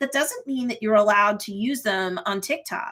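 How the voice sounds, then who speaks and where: This woman keeps to a moderate pace. The recording is very clean and the background silent. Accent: New York. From New York. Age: 50s. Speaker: marketing coach and YouTuber. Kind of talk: livestream tutorial. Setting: live stream.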